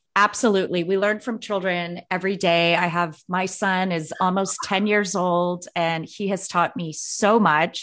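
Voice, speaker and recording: A plain, everyday voice from a woman at medium pitch, fairly slow yet with hardly any pauses, over a quiet background. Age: 40s. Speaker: podcast host. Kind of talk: interview.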